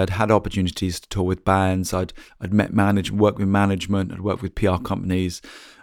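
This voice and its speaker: Very fast speech from a man with an English accent and a fairly low pitch. His intonation is monotone and flat, on a very clean recording with a silent background. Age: 40s. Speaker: musician and podcaster. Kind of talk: personal story monologue. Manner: hesitant, many fillers.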